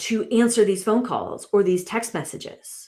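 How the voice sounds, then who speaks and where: A woman's voice, with ordinary pitch variation, comes through on a very clean recording with a silent background. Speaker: relationship coach and podcast host. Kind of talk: solo podcast monologue. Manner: halting, many restarts and fillers; casual, conversational.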